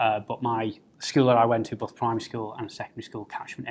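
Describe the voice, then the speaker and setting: The speaker has a slight North East English accent and talks at a fairly quick pace with monotone, flat intonation. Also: man. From North East England, Middlesbrough. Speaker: political candidate. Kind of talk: personal interview talk. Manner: hesitant, many fillers.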